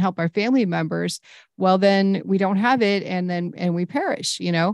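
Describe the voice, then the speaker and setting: A woman speaks at medium pitch and a moderate pace, with ordinary pitch variation and an enthusiastic tone. The sound is dry and close, with no echo. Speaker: podcast host. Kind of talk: interview.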